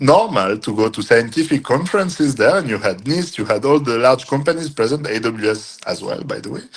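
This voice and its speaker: A man talks with a French accent. His intonation is lively. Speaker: cryptography entrepreneur. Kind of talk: interview. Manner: hesitant with frequent fillers.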